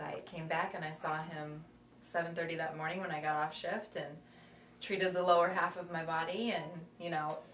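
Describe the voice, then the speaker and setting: A woman speaks at a moderate pace with a fairly low pitch and a monotone, flat intonation, over noticeable background noise and audible room echo. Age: 30s. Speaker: patient. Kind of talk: testimony.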